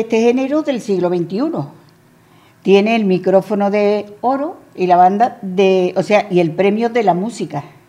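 A woman's medium-pitched voice, dark and mellow in tone, at a moderate pace with ordinary pitch variation. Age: 80s+. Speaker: radio co-presenter. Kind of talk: casual chat.

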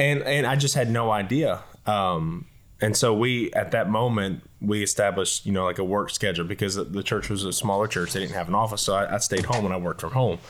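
In a very clean recording with a silent background, a man with a Southern US accent and fairly low pitch speaks at a fairly quick pace with ordinary pitch variation. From Leesville, Louisiana. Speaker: associate pastor. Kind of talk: casual discussion.

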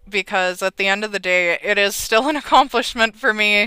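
A woman with a Canadian accent speaks at a moderate pace in a bright, sharp tone and a medium pitch, captured in a very clean recording with a silent background. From Alberta, Canada. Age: 20s. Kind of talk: interview.

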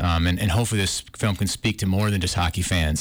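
Speaking very fast with an Upper Midwest accent, a man keeps a fairly low pitch and fairly even intonation. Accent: Upper Midwest (Minnesota). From northern Minnesota. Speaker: film director. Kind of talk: interview. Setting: studio.

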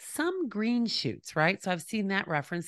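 The recording is very clean with a silent background. A woman talks at a moderate pace with lively intonation. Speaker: podcast host. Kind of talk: solo commentary. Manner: casual with fillers.

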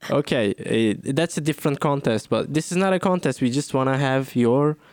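A moderate pace and ordinary pitch variation, in a very clean recording with a silent background and a dry, close sound with no echo. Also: man. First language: non-English, not native. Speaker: podcast host and comedian. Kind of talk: casual chat.

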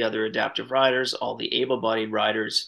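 A man talks at a fairly quick pace with fairly even intonation, in an unremarkable speaking voice. The background is quiet. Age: 50s. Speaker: documentary film director. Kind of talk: interview.

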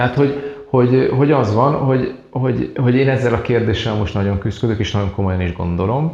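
Amid noticeable background noise and audible room echo, a man speaks at a moderate pace with ordinary pitch variation. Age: 40s. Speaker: productivity method trainer. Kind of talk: interview. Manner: halting.

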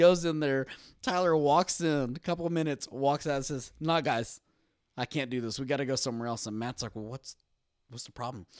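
Speaking with a Texan accent, a man with a fairly high pitch talks at a fairly quick pace with ordinary pitch variation, in a dry, close sound with no echo. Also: very clean recording, silent background. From Texas. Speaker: returning podcast guest. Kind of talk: casual chat. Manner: animated.

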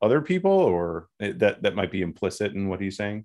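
A man with a fairly low voice speaks at a fairly quick clip with lively intonation in an unremarkable speaking voice, recorded very cleanly against a silent background. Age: 30s. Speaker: podcast co-host, internet business buyer. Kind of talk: casual chat.

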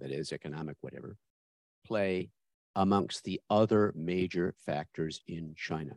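A man with a very deep, low voice and vocal fry speaks at a moderate pace in a dry, close sound with no echo. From born overseas, living in Australia fifty years. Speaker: audience member asking a question. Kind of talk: audience question. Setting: lecture hall audience microphone.

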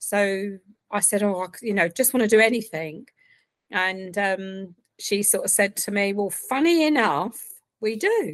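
A woman with an Essex accent, medium pitch and ordinary pitch variation, at a fairly slow pace against a quiet background. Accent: southern English (Essex). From Essex, England. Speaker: software project coordinator. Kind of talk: casual interview chat.

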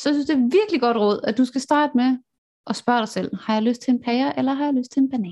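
Speaking at a very fast pace, a woman uses a high pitch. Her pitch variation is ordinary. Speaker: podcast host. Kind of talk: interview. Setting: video call. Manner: animated.

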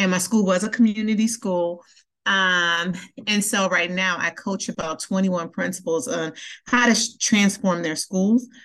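Against a quiet background, a woman with an ordinary speaking voice speaks fairly slowly at medium pitch with fairly even intonation. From Milwaukee, Wisconsin (US Midwest). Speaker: school center director, former principal. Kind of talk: interview conversation.

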